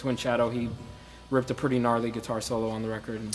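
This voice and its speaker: A man's medium-pitched voice stays monotone and flat, with noticeable background noise around it. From Sudan. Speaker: musician and bandleader. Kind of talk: interview. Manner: halting.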